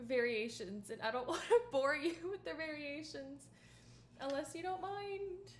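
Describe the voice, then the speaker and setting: A woman at a fairly slow pace, with very wide pitch swings and audible room echo. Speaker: violinist streamer. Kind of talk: casual livestream chat. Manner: casual, chatty.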